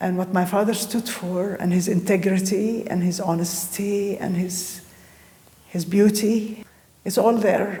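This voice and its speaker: A woman with an Arabic accent at a very slow pace, in a monotone, flat intonation, with audible room echo and noticeable background noise. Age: 70s. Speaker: artist and poet. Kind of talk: interview. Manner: halting.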